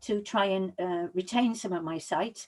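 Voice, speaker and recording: In a very clean recording with a silent background, a woman talks in a Welsh accent. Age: 60s. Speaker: public speaking coach. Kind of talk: motivational talk. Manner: energetic.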